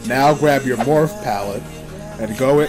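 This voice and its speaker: A man's fairly high voice over music in the background. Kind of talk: comedic parody makeup tutorial voiceover. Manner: joking, casual.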